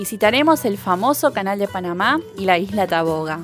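With faint music in the background, a woman with an Argentinian accent talks in lively intonation. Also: dry sound with no echo. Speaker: Spanish teacher. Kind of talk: casual travel vlog to camera. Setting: outdoors, background noise. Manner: slow and clear, improvised. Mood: relaxed, friendly.

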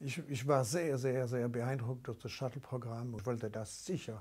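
Somewhat breathy, with a dark, mellow tone, a man speaks at a moderate pace with ordinary pitch variation. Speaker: interviewee. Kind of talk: interview answer. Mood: warm, enthusiastic reminiscing. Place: office. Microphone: lapel.

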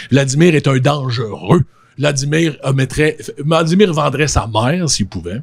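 Against a quiet background, a man with a fairly high pitch, ordinary pitch variation and vocal fry speaks fairly slowly in an animated way. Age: 40s. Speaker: podcaster and social media influencer; podcaster, social media influencer. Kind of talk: casual conversation. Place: studio. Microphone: handheld.

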